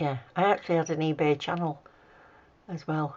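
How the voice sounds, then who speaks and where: A woman speaks with an English accent. Her pace is moderate. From UK. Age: 60s. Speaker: nail art hobbyist YouTuber. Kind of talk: tutorial; casual chat. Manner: casual, chatty.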